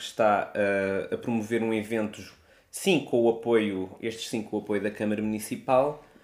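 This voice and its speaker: This man has a plain, everyday voice at a medium pitch. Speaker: podcast co-host. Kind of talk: casual chat.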